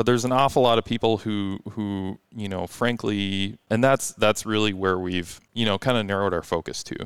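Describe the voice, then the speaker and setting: A man with an ordinary speaking voice and fairly low pitch talks at a moderate pace with hardly any pauses, in a dry, close sound with no echo. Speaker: performance car tuning shop owner. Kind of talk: casual interview chat. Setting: studio.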